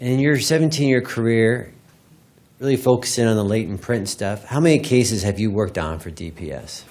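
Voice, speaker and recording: With big swings in loudness and lively intonation, a medium-pitched man talks at a fairly quick pace in a room with audible echo. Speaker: prosecutor. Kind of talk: courtroom examination. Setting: courtroom. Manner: fast.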